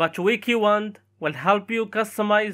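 Delivered at a moderate pace with a non-native accent, the speech is captured in a very clean recording against a silent background. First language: not English. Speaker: tech YouTuber. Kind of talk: tutorial.

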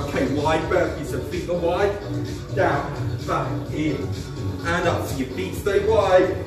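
A man speaks at a very slow pace with audible room echo. Clear music plays in the background. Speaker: fitness instructor. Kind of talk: workout instruction. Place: garage. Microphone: camera far.

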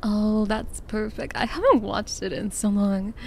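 A soft-spoken woman with a fairly high pitch has a dark, mellow, somewhat breathy tone and fairly even intonation. The sound is dry with no echo, over light background noise. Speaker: vtuber. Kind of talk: ASMR roleplay. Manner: soft-spoken, affectionate. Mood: affectionate, soft, sleepy.

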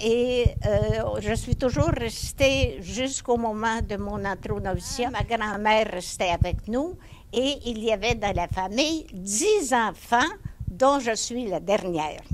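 Over light background noise, a woman speaks at a very slow pace in a fairly high pitch. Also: lively intonation. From Quebec, Centre-du-Québec (Bécancour); Quebec. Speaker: nun, retired teacher. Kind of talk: life story interview. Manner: halting. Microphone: handheld.

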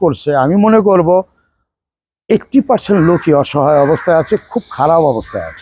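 A man with a high pitch and a dark, mellow tone speaks with ordinary pitch variation, the sound dry and close with no echo against a quiet background. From Bangladesh, Barisal. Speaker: film assistant director. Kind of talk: interview.

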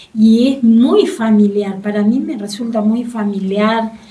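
She talks at a fairly slow speed. The voice belongs to a woman. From Argentina. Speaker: market coordinator; guest. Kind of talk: interview. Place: studio. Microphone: studio mic.

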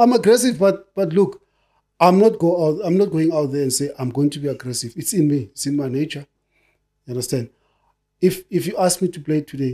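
In front of a quiet background, a man talks at a fairly quick pace with a dark, mellow tone. He leaves long, frequent pauses. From South Africa, Soweto; South Africa. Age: 50s. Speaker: retired footballer; guest. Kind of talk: casual chat. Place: studio. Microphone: studio mic.

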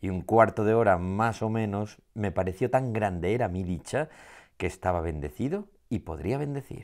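A man's fairly low voice with lively intonation, at a moderate pace, against a quiet background. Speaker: poet. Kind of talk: poetry reading. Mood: warm, gently smiling. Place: studio.

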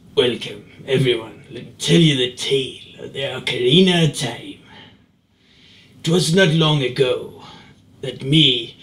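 Putting on a character voice, a man at medium pitch swings widely in loudness and leaves long, frequent pauses. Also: moderate pace, ordinary pitch variation. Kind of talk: formal, old-fashioned. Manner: dramatic, tale-telling.

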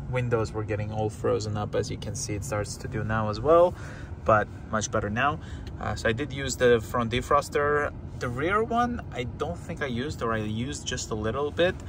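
Noticeable background noise, a moderate pace, and a dry sound with no echo. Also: man. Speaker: car owner vlogger. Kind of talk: casual vlog commentary. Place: car. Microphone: phone near.

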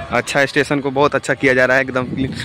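A man's monotone, flat delivery at a fairly quick pace, with faint music in the background. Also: dry sound with no echo. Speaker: travel vlogger. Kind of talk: casual vlog chat. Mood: cheerful. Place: station. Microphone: phone near.

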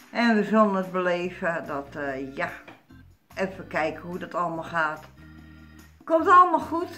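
A woman speaks at a fairly slow pace with big swings in loudness. Faint music plays in the background. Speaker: vlogger. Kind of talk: casual vlog chat. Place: kitchen. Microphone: phone near.

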